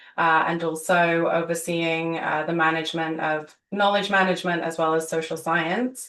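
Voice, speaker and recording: A woman's monotone, flat delivery with a British accent. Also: fairly low pitch for a woman, moderate pace, hardly any pauses. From UK. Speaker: government energy official. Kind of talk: webinar panel introduction. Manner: halting, many fillers.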